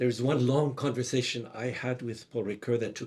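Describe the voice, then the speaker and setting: Somewhat breathy, a man talks at a moderate pace with a medium pitch. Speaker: monk and theology teacher. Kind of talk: conference talk. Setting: conference hall with audience. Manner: soft-spoken.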